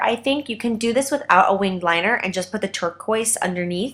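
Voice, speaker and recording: A woman talks at a fairly quick pace with ordinary pitch variation in an unremarkable speaking voice. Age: young. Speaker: professional makeup artist. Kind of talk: makeup tutorial talk to camera. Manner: upbeat, chatty.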